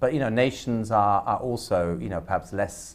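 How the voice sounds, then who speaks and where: A man talks with a German accent. His intonation is lively. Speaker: academic panelist. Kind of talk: panel discussion. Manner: halting, many repetitions and fillers.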